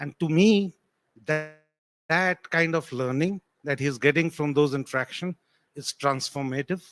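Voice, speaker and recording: In a non-native accent, a man with a fairly high pitch and ordinary pitch variation speaks at a fairly slow pace with long, frequent pauses, his voice dry and close with no echo while music plays in the background. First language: not English. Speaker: tech panelist. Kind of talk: panel discussion.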